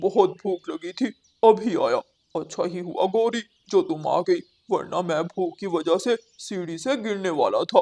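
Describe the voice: This cartoonish character voice sits at a middle pitch. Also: moderate pace.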